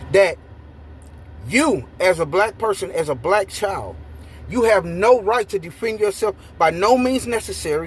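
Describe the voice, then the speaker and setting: A man talks loudly at a high pitch for a man, with lively intonation. His pace is fairly slow, broken by long, frequent pauses. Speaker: YouTube commentator. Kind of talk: ranting commentary. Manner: animated.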